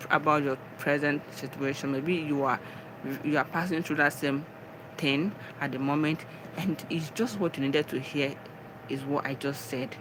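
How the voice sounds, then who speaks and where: Moderate-paced speech with a Nigerian accent, over noticeable background noise. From Nigeria, Ebonyi state. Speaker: live streamer, spiritual and wellness talk. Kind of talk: casual live stream talk, motivational. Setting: live stream. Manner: animated.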